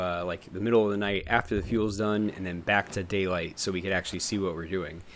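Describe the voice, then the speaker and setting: This man speaks at a fairly low pitch with fairly even intonation. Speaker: gaming youtuber. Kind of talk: gameplay commentary. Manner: casual, many fillers; fast.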